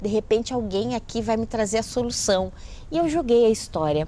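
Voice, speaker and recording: A woman's unremarkable speaking voice with lively intonation. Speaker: writer and educator. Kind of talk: interview storytelling.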